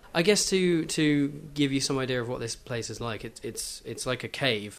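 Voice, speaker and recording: A man in a southern English accent, fairly high in pitch, at a moderate pace. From southeast England (Kent). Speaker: podcast guest, music fan. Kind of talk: casual chat.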